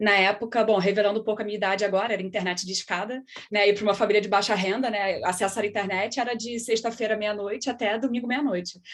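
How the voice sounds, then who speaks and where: At a very fast pace with hardly any pauses, a woman speaks at a medium pitch in a monotone, flat intonation. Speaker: scientist. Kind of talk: panel discussion.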